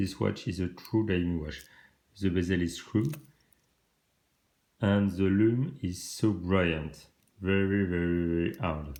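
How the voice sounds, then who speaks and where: In a French accent, a man with a very deep, low pitch and a dark, mellow tone speaks fairly slowly with ordinary pitch variation, long, frequent pauses and audible room echo. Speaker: watch reviewer. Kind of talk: product review. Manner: halting.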